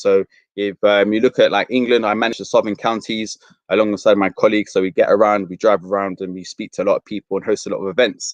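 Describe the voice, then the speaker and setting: A man with an English accent talks at a very fast pace. The sound is dry and close, with no echo. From London, Fulham. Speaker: university outreach presenter. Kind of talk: careers presentation.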